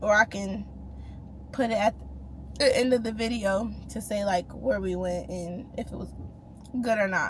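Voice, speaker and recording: At a moderate pace, a woman speaks with big swings in loudness and long, frequent pauses. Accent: American. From US Northeast, Rochester, New York. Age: 20s. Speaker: lifestyle vlogger. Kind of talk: casual Q&A vlog.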